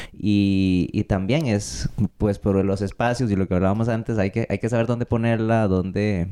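Fairly low-pitched speech from a man with a Costa Rican accent, at a moderate pace with fairly even intonation. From Costa Rica, Paraíso de Cartago. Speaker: folk dance director and dancer. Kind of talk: casual interview.

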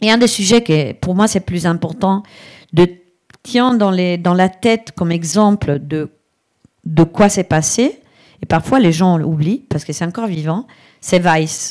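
A woman speaks at a fairly slow pace with ordinary pitch variation and long, frequent pauses. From Italy, Brescia. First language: Italian (speaking French). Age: 50s. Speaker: digital strategy consultant. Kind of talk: live interview before audience.

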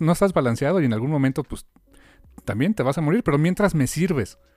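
The voice carries a Mexican accent with a dry, close sound and no echo. The recording is very clean, with a silent background. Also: man. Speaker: podcast host. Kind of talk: casual chat.

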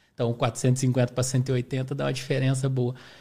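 This very clean recording has a silent background. A man talks at a medium pitch with a somewhat breathy quality. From Brazil, southern Minas Gerais. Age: 30s. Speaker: amateur ultramarathon runner. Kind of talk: podcast interview. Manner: casual.

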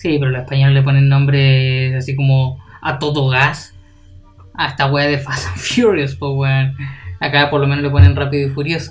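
With a Chilean accent, a man speaks at a moderate pace in a fairly high pitch and fairly even intonation, with music in the background and audible room echo. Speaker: podcast co-host. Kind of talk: casual chat.

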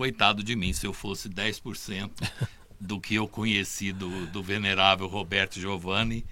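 Speaking at a fairly slow pace, a man uses a bright, sharp tone, a fairly low pitch and fairly even intonation. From Brazil, Casa Branca, São Paulo state. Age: 60s. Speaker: beatification commission member. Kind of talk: casual chat, storytelling.

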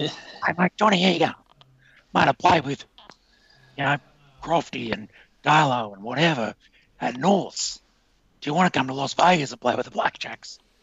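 A man's raspy, put-on character voice, fairly high in pitch, with lively intonation, big swings in loudness, and long, frequent pauses. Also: moderate pace. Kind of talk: casual.

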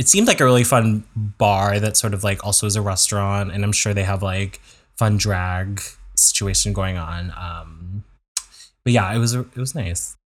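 A man with an unremarkable speaking voice talks at a moderate pace and fairly low pitch, his intonation fairly even. The recording is very clean, with a silent background. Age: 30s. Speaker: podcast co-host. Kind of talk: casual chat. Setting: home recording.

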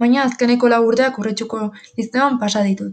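Fairly high in pitch with fairly even intonation, the woman talks in an unremarkable speaking voice. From Basque Country, Urretxu (Gipuzkoa). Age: young. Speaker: university student. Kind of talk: scripted narration.

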